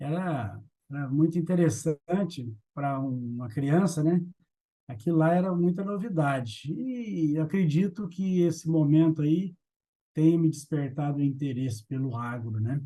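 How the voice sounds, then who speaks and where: Speaking at a fairly slow pace, a man uses a fairly high, dark, mellow voice with lively intonation. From Brazil, Minas Gerais (Triângulo Mineiro). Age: 60s. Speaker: agribusiness executive. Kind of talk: interview.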